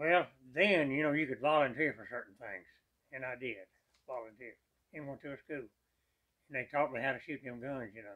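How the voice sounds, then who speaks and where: A man with a Texan accent speaks at medium pitch in a bright, sharp tone and a fairly quick pace. His loudness swings widely, and he takes long, frequent pauses. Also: ordinary pitch variation. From East Texas. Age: 90s. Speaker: war veteran. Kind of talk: interview.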